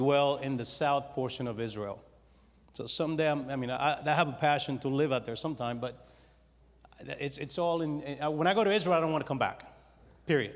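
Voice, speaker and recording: Pitched fairly high, a man's voice moves along at a moderate pace. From Spanish-speaking country, moved to New York at ten. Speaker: businessman. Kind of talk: testimony. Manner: halting, repeats words.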